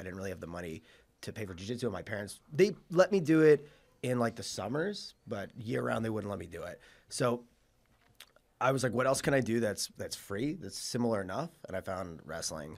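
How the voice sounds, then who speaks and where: Someone speaks at a fairly quick clip in a slight Long Island accent, the pitch swinging very widely and the loudness rising and falling sharply. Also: man. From Suffolk County, Long Island, New York. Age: 30s. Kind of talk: casual chat. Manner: hesitant, many fillers.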